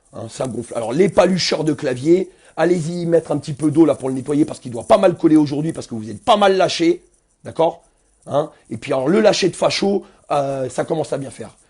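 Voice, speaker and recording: Against a quiet background, a man with a fairly high pitch talks at a fairly quick pace in an animated tone, his intonation lively and his loudness swinging widely. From Seine-Saint-Denis, Paris suburbs, France. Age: 40s. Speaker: protest activist. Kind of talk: angry live video rant.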